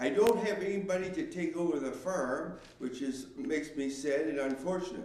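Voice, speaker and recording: Over noticeable background noise and audible room echo, a man with a rural Canadian accent talks at a moderate pace with hardly any pauses, fairly high pitch and lively intonation. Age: 70s. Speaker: farmer. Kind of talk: public hearing statement. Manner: halting.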